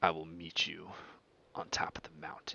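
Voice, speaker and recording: In a put-on character voice, a man growls at a moderate pace, his pitch very deep and low. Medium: actual play. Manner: commanding, menacing.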